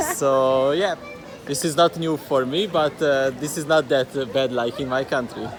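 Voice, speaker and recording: Someone speaks with a Hungarian accent at a moderate pace. Crowd noise fills the background. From Hungary. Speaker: tourist. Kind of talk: casual chat. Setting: outdoors at a hot spring water park. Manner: halting.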